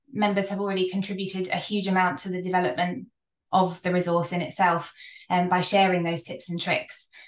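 A woman with a British accent, fairly quick and fairly even in intonation, with audible room echo. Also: quiet background. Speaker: research psychologist and counsellor. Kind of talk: presentation. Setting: video call. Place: home room. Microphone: video call.

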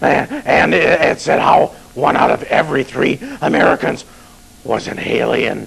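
Using a put-on character voice, a man delivers his lines at a moderate pace. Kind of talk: comedic low-budget horror host banter.

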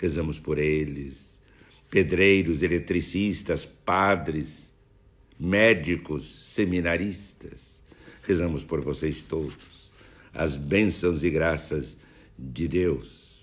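A very slow, solemn man's voice at a very deep, low pitch with vocal fry. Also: ordinary pitch variation. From Brazil. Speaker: bishop leading morning prayer. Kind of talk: fervent prayer. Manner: earnest, devout, pleading; slow, solemn, rhythmic cadence. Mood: warm, smiling, devotional. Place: home room. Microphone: phone near.

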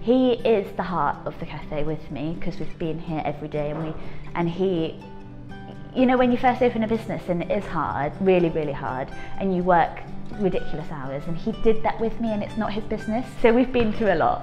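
Over clear music in the background, a woman speaks at a fairly quick pace with a fairly low pitch. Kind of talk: interview answer. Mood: warm, enthusiastic. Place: cafe.

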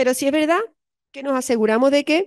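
A woman talks at a moderate pace with ordinary pitch variation, her voice dry with no echo over a quiet background. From Spain, Andalusia (Cádiz); Andalusia, Spain. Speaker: psychologist and university lecturer; university lecturer. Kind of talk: lecture. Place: classroom.

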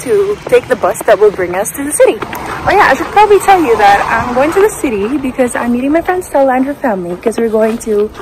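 A woman's very fast speech, dry with no echo, against noticeable background noise. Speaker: travel vlogger. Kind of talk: casual vlog chat. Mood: excited, a bit nervous. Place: street. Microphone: phone near.

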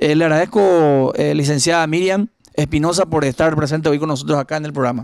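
A man's normal speaking voice, fairly high for a man, fairly quick, with ordinary pitch variation, dry with no echo over a quiet background. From Paraguay. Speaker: local news interviewer; interviewer, program host. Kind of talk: interview. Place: home room. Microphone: handheld.

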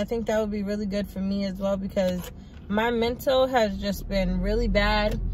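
A somewhat breathy woman's voice, fairly high in pitch, with fairly even intonation and a fairly quick pace. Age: 20s. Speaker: lifestyle vlogger. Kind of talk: casual talk to camera. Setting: in a car. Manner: casual, rambling.

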